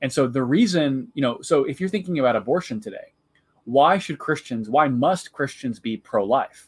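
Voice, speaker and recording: A fairly high-pitched man with an American accent and lively intonation, at a moderate pace. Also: very clean recording, silent background. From US Midwest, central Illinois. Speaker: theology professor. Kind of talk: interview.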